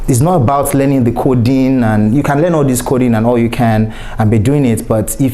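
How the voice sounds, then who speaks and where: With a Nigerian accent, a man talks at a fairly quick pace and medium pitch with ordinary pitch variation, amid noticeable background noise and audible room echo. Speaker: cybersecurity professional and keynote speaker. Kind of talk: conference keynote talk.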